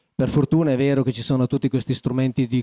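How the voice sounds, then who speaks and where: Very fast and in a monotone, flat intonation, a man speaks with a dark, mellow tone, the sound dry with no echo and the background quiet. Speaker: conference panelist. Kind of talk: panel talk. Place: hall. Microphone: handheld.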